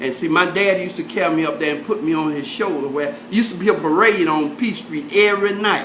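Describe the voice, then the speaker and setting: Noticeable noise sits in the background. The talking rushes by very fast. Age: 70s. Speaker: oral history interviewee. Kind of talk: casual oral history interview. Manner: halting, many fillers.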